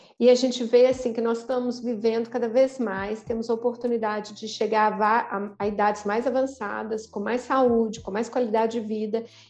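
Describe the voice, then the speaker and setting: A woman speaks at a moderate pace with hardly any pauses. Her fairly high-pitched voice has monotone, flat intonation. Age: 40s. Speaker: podcast co-host. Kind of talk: casual chat.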